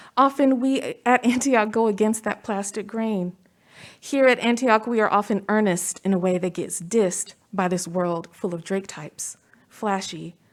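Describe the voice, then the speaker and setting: A woman talks in a normal speaking voice, fairly high in pitch with ordinary pitch variation, at a moderate pace. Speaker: commencement speaker. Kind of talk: commencement speech. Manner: formal.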